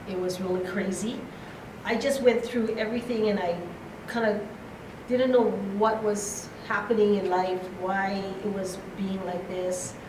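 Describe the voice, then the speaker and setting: A woman's medium-pitched voice at a fairly slow pace, with long, frequent pauses and fairly even intonation, amid audible room echo and noticeable background noise. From Hawaii (Honolulu). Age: 60s. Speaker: conference speaker. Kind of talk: motivational talk.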